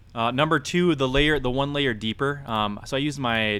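Ordinary pitch variation marks this man's voice as he talks at a fairly quick pace. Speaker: podcast host. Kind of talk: casual chat. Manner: animated.

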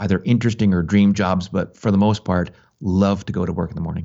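A man talks in an ordinary speaking voice with a fairly low pitch. His intonation stays fairly even. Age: 50s. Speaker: podcaster and writer. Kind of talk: interview conversation. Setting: phone or remote call.

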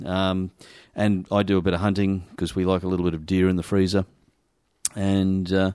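Someone speaks at a fairly quick pace in an Australian accent. The sound is dry and close, with no echo. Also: man. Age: 40s. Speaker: shooters' association representative. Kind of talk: interview.

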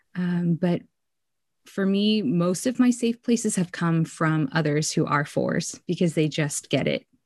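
A woman has a plain, everyday voice, pitched fairly low, with lively intonation. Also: fairly slow pace, very even loudness, quiet background. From Korean-American community, US. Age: young. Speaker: writer and pastor. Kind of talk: casual interview.

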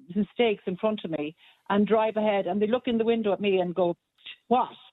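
Ordinary pitch variation and a fairly quick pace in a woman's fairly high-pitched voice. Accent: Irish. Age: 60s. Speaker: caller. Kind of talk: talk radio phone-in.

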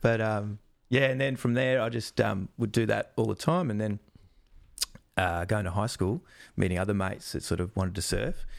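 A man with an Australian accent speaks at a fairly low pitch and moderate pace with ordinary pitch variation, on a very clean recording with a silent background. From Australia, Melbourne. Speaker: wildlife presenter and zookeeper. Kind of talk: casual chat.

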